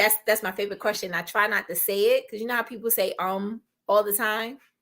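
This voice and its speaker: A woman's fairly high-pitched voice, fairly quick in pace, with fairly even intonation. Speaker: podcast co-host. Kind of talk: casual chat. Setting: live stream. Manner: articulate.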